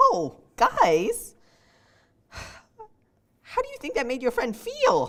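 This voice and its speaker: A cartoonish character voice delivered at a very slow pace. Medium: puppet show. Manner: hesitant, earnest.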